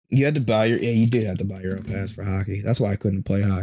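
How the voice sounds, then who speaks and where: A dark, mellow, somewhat breathy tone at a very fast pace with fairly even intonation. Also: man. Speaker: podcast host. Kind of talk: casual comedy banter. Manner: joking, crude.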